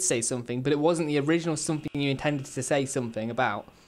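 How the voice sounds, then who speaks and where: A fairly high-pitched man with a British accent, very fast pace and ordinary pitch variation, in a very clean recording with a silent background. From England. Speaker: video game streamer. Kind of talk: live game stream chat. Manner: casual, rambling with fillers.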